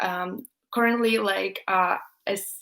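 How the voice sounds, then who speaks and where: Recorded very cleanly with a silent background, a woman speaks at a medium pitch with a Russian accent. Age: 20s. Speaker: YouTuber, student. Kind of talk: live stream Q&A chat. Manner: hesitant, many fillers.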